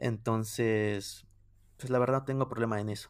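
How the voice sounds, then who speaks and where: A man speaks with a Mexican accent. His intonation stays fairly even. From Mexico. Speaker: music YouTuber. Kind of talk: casual interview chat.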